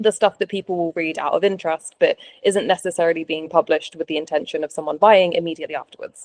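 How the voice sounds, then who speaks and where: In a dry, close sound with no echo, a woman talks at a fairly quick pace, with a fairly low pitch and fairly even intonation. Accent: British. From UK. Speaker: travel copywriter. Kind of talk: interview.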